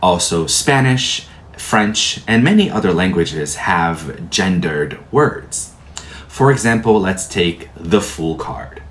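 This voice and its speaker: The speaker talks very slowly with very wide pitch swings, and the recording has audible room echo and noticeable background noise. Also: man. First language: Portuguese. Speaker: tarot teacher. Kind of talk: lecture.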